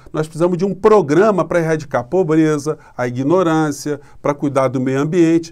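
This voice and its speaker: A man at a fairly quick pace with ordinary pitch variation and a quiet background. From Brazil. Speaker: political commentator YouTuber. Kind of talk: political commentary monologue. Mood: critical, indignant. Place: home room. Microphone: phone near.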